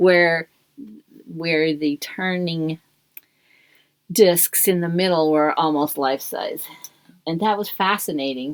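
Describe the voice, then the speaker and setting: Pausing long and often, a woman speaks at a very slow pace with ordinary pitch variation. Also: fairly low pitch for a woman. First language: German. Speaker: knitting podcast guest, host's mother. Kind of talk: casual chat. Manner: halting.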